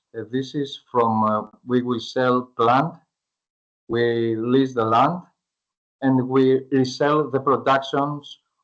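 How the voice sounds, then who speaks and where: A man at medium pitch, talking at a very slow pace with fairly even intonation. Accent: Greek. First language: Greek. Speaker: startup founder pitching to investors. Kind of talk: pitch presentation; Q&A answer. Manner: halting, hesitant with fillers.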